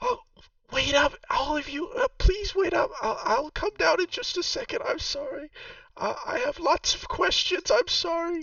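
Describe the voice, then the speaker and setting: A man shouting in a put-on character voice at an extremely high pitch. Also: moderate pace. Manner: shouting, calling out, apologetic and eager.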